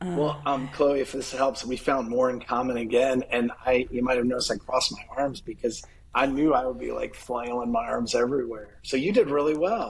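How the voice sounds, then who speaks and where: Against noticeable background noise, a man talks at a fairly quick pace and medium pitch with hardly any pauses. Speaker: marketing agency owner. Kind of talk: casual chat. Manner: animated.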